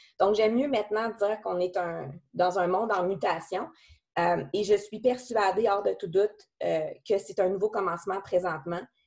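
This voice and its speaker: This woman speaks at a moderate pace in a medium pitch. Her pitch variation is ordinary. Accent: Quebec. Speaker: company president. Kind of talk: business talk. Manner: halting.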